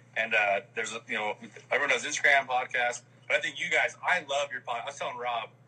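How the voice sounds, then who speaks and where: Noticeable background noise accompanies a man who talks very fast. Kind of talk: casual live chat. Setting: video call.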